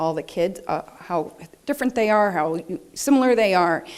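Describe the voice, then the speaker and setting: At a moderate pace, a woman speaks. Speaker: researcher presenting to families. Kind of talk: presentation to family and researcher meeting. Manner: halting, many fillers.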